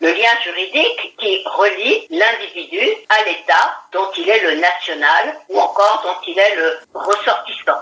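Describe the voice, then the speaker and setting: A woman speaks at a very slow pace, keeping her loudness very even. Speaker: law professor. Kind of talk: interview explanation.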